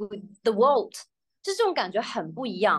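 With lively intonation, a woman speaks in a high pitch. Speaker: English teacher. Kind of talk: casual interview chat. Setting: video call.

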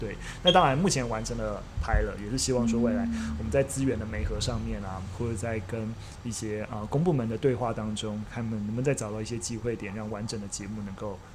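A man with a medium pitch speaks at a fairly quick pace. Room echo can be heard. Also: ordinary pitch variation. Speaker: media company CEO, former history teacher. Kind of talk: casual chat over tea. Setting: teahouse room.

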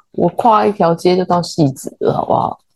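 Speaking fairly slowly, a woman uses a fairly low voice with a dark, mellow tone. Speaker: podcast co-host, interior designer. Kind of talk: casual chat.

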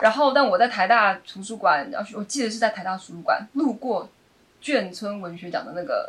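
With lively intonation and big swings in loudness, a woman speaks at a moderate pace. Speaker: playwright. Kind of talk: casual chat.

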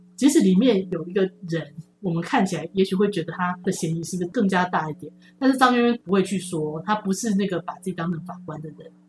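Somewhat breathy, a woman at medium pitch talks at a very fast pace with ordinary pitch variation and big swings in loudness. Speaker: publishing editor-in-chief. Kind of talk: interview. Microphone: poor sound quality in second half due to equipment.

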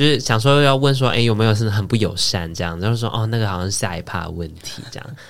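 A man talks at a very fast pace with hardly any pauses. His pitch is fairly low and varies in an ordinary way. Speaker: podcast co-host. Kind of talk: casual chat.

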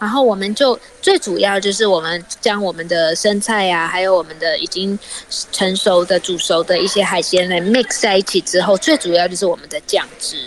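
A woman speaks at a moderate pace with a medium pitch and ordinary pitch variation. Noticeable background noise runs behind her. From Taiwan, Tainan. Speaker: cookbook author and cooking teacher. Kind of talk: radio interview with recipe explanation. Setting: remote line from outside the studio.

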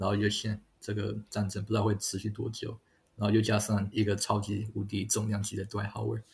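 Here a man sounds somewhat breathy with a fairly low pitch. His intonation stays monotone and flat. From Taiwan, rural Taoyuan (Longtan). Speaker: basketball video analyst, former NBA scout. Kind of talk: interview. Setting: remote recording.

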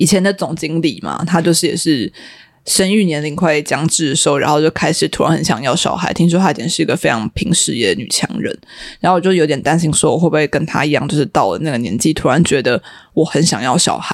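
A woman speaks in a very deep, low voice with lively intonation. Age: 30s. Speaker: media office worker. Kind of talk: casual chat.

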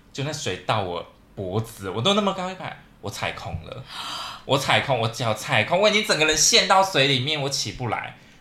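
Over noticeable background noise, a man talks at a fairly quick pace in a fairly high voice that swings very widely in pitch. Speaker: podcast co-host. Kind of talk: casual chat.

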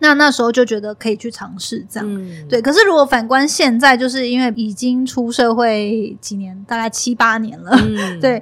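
Speaking in a normal speaking voice at a fairly high pitch, a woman keeps a moderate pace with hardly any pauses, ordinary pitch variation, and big swings in loudness. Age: 30s. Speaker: content creator and podcast host. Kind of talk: casual interview chat.

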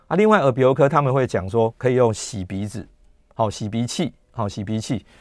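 With an unremarkable speaking voice, a man talks at a fairly quick pace, a medium pitch and ordinary pitch variation on a very clean recording with a silent background. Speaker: radio host and gastroenterologist. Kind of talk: health talk radio monologue. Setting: radio studio with YouTube livestream.

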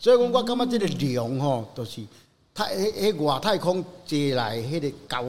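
At a moderate pace, a man speaks at a fairly high pitch that swings very widely. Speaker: lion head artist and dental technician. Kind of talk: casual interview.

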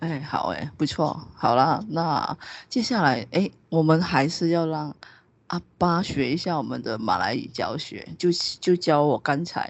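In a Malaysian accent, the speaker uses an animated tone at a fairly slow pace. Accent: Malaysian Mandarin, often taken for Hong Kong. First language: Hakka (speaking Chinese). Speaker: podcast host. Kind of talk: casual chat.

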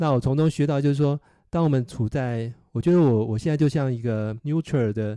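With a dark, mellow tone, a man speaks at medium pitch with ordinary pitch variation. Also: dry, close sound with no echo. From Taiwan, Nantou. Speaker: engineer and bike cafe owner. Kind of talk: casual interview. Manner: halting, many fillers.

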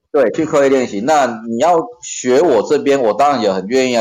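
Noticeable background noise sits behind a man speaking at a fairly quick pace. His pitch is medium, with ordinary pitch variation. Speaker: occupational safety trainer and lecturer. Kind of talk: casual chat.

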